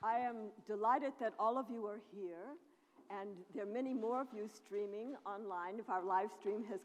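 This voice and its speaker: A woman with an American accent and an unremarkable speaking voice, fairly high in pitch, at a moderate pace. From United States. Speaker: professor. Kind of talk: public lecture.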